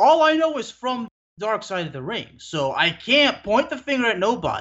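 A man's high-pitched voice with an American accent, very wide pitch swings and a fairly quick pace. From Texas. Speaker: sports journalist and podcast co-host. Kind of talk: casual chat.

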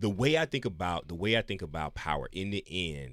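With a very deep, low pitch yet a bright, sharp tone, a man speaks at a moderate pace with ordinary pitch variation. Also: very clean recording, silent background. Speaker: radio show guest. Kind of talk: casual chat.

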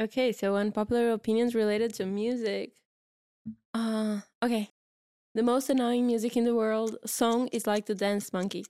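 A woman with a Portuguese accent speaks at a moderate pace, with a fairly high pitch and a dark, mellow tone. Her intonation is monotone and flat, and her loudness stays very even. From Portugal, Porto. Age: 30s. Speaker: podcast co-host. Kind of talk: casual chat.

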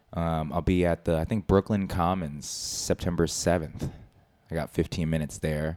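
A man with an American accent speaks at a moderate pace, his pitch very deep and low. The intonation stays fairly even, and the sound is dry and close with no echo. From Philadelphia. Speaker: comedian.

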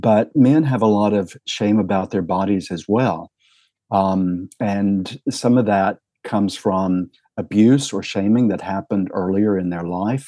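With an American accent, a man speaks fairly slowly in a fairly low, dark, mellow voice with ordinary pitch variation, the sound dry and close with no echo and the background quiet. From US South, rural Tennessee. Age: 60s. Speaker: psychotherapist and sex therapist. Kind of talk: podcast interview.

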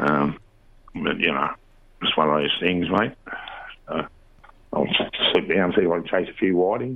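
The speaker has an Australian accent and a moderate pace, with long, frequent pauses. Noticeable background noise is present. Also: man. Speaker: fishing reporter. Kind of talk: casual chat.

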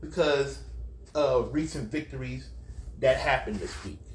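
Here a man speaks at a moderate pace. Audible room echo surrounds his voice. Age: 50s. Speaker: podcast host. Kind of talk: personal monologue.

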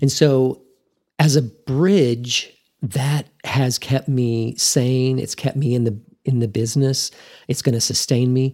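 At a very slow pace, a man with medium pitch and a dark, mellow tone holds fairly even intonation. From Texas Panhandle (Amarillo). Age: 50s. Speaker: pharmacist. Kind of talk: interview conversation.

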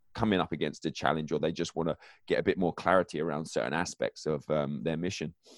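Talking at a very fast pace with an American accent, a man uses ordinary pitch variation. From England. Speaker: author and mindset coach. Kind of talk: interview conversation; reading aloud from own book. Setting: home basement, remote recording.

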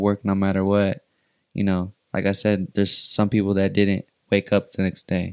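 The intonation stays monotone and flat in a very clean recording with a silent background. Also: man, dry, close sound with no echo. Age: 20s. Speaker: aspiring musician. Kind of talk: casual chat.

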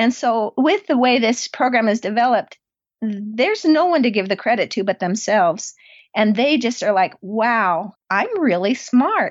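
A woman with an American accent has an ordinary speaking voice, pitched fairly high, with lively intonation. She keeps a moderate pace and very even loudness. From US, southeast Idaho. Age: 50s. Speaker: homeschooling mother and math curriculum creator. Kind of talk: interview.

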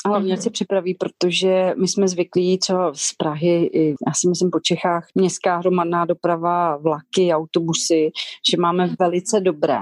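Against a quiet background, the voice comes through in a monotone, flat intonation with very even loudness and a dry, close sound with no echo. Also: woman, fairly low pitch for a woman, moderate pace. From Czech Republic, Šumava region. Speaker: restaurant owner. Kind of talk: interview.

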